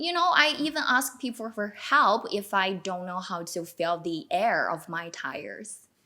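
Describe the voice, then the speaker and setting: A woman speaks with a Chinese accent at a fairly slow pace, her pitch swinging very widely. Noticeable background noise is present. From China. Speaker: newcomer to Canada. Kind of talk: panel discussion. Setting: video call.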